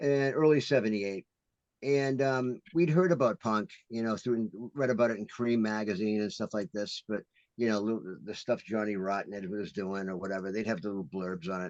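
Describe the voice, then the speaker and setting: A man's normal speaking voice with an American accent, fairly low in pitch, at a moderate pace with ordinary pitch variation. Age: 60s. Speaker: punk musician. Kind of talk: casual chat.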